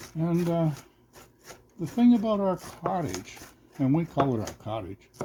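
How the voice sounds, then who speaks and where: Pitch swinging very widely, a man talks fairly slowly. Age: 60s. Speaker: cooking channel host. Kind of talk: casual cooking vlog chat.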